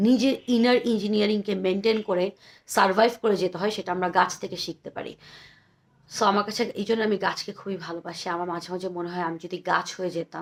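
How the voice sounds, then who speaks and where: Very clean recording with a silent background, a woman at a medium pitch with fairly even intonation. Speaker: poetry vlogger. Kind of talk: poetry reading and casual commentary. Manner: chatty, talkative.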